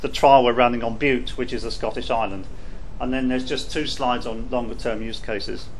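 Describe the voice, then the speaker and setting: Audible room echo surrounds a man with a British accent. He speaks at a fairly quick pace with ordinary pitch variation. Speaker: telecom innovation team manager, conference panelist. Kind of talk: conference presentation. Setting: workshop panel session with audience. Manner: hesitant, many fillers and repetitions.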